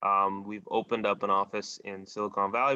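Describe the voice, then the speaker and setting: The voice has a bright, sharp tone and moves at a fairly quick pace, recorded with a dry, close sound with no echo over a quiet background. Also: man. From Bahamas. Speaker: tech company executive. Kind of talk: radio interview.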